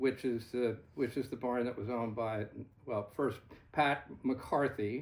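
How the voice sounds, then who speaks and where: In an American accent, a man at medium pitch speaks at a fairly slow pace with fairly even intonation. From US Northeast, Gloucester, Massachusetts. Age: 60s. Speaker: horseman and fox hunter. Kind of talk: storytelling in a casual chat. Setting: fireside chat with small audience. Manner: halting.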